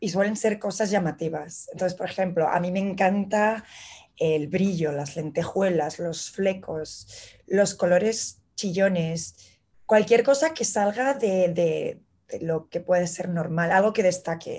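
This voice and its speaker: In a Madrid accent, a woman speaks at a very slow pace with a medium pitch, a somewhat breathy voice and ordinary pitch variation. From Madrid, Spain. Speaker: illustrator. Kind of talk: casual interview chat. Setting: remote connection from New York.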